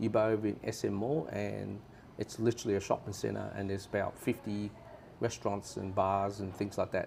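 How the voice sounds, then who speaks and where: This man's voice is fairly low in pitch. His intonation stays fairly even. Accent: Australian. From Australia. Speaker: tourist interviewee. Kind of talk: casual interview chat.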